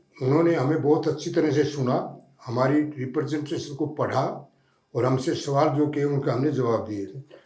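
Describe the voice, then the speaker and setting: A man with fairly high pitch and a dark, mellow tone sounds somewhat breathy, speaking with fairly even intonation amid audible room echo. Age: 80s+. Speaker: retired police officer, advocate. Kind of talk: studio interview. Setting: studio.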